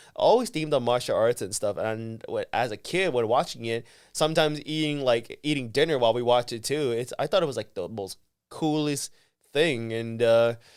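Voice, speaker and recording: Here a man speaks at a medium pitch and a moderate pace, with ordinary pitch variation. The recording is very clean and the background silent. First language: Vietnamese. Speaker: professional wrestler. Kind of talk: casual interview chat. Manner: halting, many fillers and restarts.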